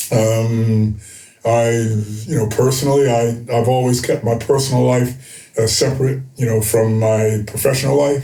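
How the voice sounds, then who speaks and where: At a moderate pace, a man with an American accent speaks in a medium pitch with monotone, flat intonation and very even loudness, with audible room echo. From United States. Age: 70s. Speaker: retired basketball coach. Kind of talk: interview. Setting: studio. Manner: halting, many fillers.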